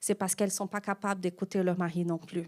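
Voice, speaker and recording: On a very clean recording with a silent background, a woman with a non-native accent is heard in a dry, close sound with no echo. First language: not French (speaking French). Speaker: pastor. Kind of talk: sermon.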